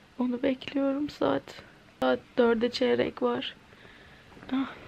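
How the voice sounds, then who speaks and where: A woman speaks at a very slow pace in a tired tone over light background noise. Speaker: vlogger. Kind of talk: casual vlog chat. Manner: weak, tired sick voice, groaning. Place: home room. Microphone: phone near.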